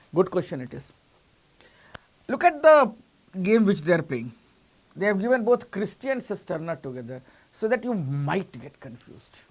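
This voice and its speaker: Pausing long and often, a man with an Indian accent speaks at a high pitch and a moderate pace, with very wide pitch swings. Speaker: coaching teacher. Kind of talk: lecture. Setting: online class.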